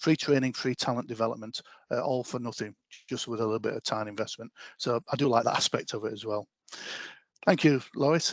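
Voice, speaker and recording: With a Yorkshire accent and ordinary pitch variation, a man is recorded in a dry, close sound with no echo. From Yorkshire, northern England. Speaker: talent development lead. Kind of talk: online presentation.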